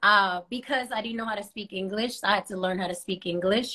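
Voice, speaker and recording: Over a quiet background, a woman with a Spanish accent talks at a fairly quick pace with ordinary pitch variation. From Los Angeles, California (born in Panama). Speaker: adult film performer. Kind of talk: interview. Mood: cheerful, smiling. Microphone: video call.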